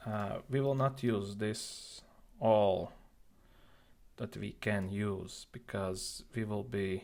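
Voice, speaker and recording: Very slowly and with long, frequent pauses, a man speaks at a fairly low pitch with fairly even intonation. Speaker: IT tutorial creator. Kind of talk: screen-recorded tech tutorial. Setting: built-in device microphone.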